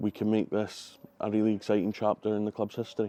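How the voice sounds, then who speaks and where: In a Highland Scottish accent, a man speaks at a moderate pace with a fairly low pitch, a dark, mellow tone and monotone, flat intonation, on a very clean recording with a silent background and a dry, close sound with no echo. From Scottish Highlands. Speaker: football club general manager. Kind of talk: interview.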